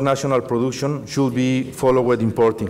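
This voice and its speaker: A man speaks with a Mexican accent. There is audible room echo and noticeable background noise. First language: Spanish. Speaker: industry council president. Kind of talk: conference presentation. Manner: halting, many fillers and repetitions.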